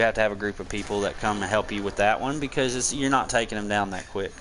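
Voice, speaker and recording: Over noticeable background noise, a man speaks in a strong Southern US accent with ordinary pitch variation. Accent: very thick Southern country. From Tennessee mountains, US South. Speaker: gaming streamer. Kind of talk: gameplay commentary and tutorial. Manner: casual, conversational.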